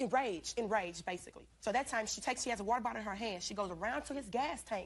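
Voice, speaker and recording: A woman's fairly high, animated voice at a very fast pace, with ordinary pitch variation. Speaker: witness in court. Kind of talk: courtroom testimony.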